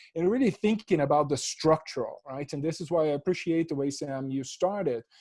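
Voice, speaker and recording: A man with a Portuguese accent speaks at a fairly quick pace in a fairly high pitch. His tone is dark and mellow, with ordinary pitch variation. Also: dry, close sound with no echo. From Brazil. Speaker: professor. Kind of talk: panel discussion.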